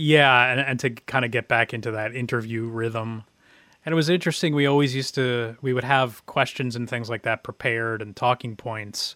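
A man speaks at medium pitch at a moderate pace, with fairly even intonation. He has a plain, everyday voice, on a very clean recording with a silent background. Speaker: podcast host. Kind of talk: casual chat.

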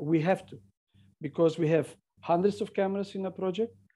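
Dark and mellow in tone, a man with a Macedonian accent speaks with ordinary pitch variation. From North Macedonia. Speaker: CCTV engineer and author. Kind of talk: interview.

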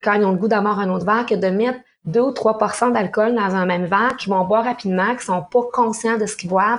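A woman talks with a Quebec accent. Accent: Québécois French. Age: 50s. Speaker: sommelier and mixologist, business owner. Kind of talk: interview.

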